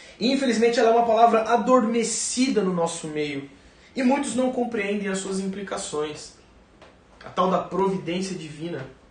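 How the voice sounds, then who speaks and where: A high-pitched man speaks with lively intonation. Audible room echo and noticeable background noise surround his voice. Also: moderate pace. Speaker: pastor. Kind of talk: sermon.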